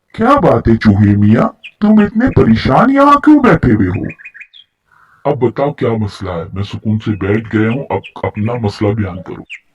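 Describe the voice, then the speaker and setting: A cartoonish character voice comes through with a dry, close sound and no echo. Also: man, medium pitch for a man. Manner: calm, gentle.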